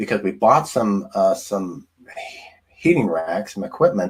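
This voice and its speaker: A man speaks with very wide pitch swings. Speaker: food scientist and diet coach. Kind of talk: livestream presentation. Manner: halting, many fillers.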